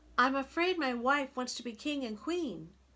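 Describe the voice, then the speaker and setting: Pitching her voice high, a woman performs a put-on character voice. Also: moderate pace. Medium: read story. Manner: timid.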